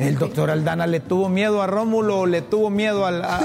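Noticeable noise in the background mixes with audible echo from the room. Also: man. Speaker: political commentary show host. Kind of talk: opinion commentary monologue.

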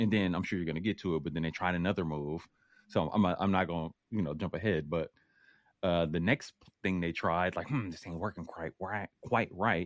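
Against a quiet background, a man talks at a fairly quick pace with a very deep, low pitch. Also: ordinary pitch variation. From US West Coast, Oakland. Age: 40s. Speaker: podcast guest, YouTuber. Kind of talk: casual chat.

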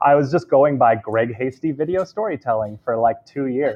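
A man in a West Coast American accent, at a fairly quick pace with lively intonation. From Southern California. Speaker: video storytelling business founder. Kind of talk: interview.

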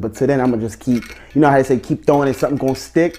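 Someone with a New Jersey accent speaks over noticeable background noise. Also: man. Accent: New Jersey urban American English. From New Jersey (Elizabeth). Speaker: rapper. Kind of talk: casual interview.

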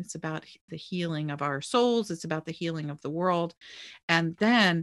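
On a very clean recording with a silent background, a woman talks at a moderate pace in a normal speaking voice with fairly low pitch. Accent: American. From US, Maryland. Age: 60s. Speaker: author and religion commentator. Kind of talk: casual interview chat.

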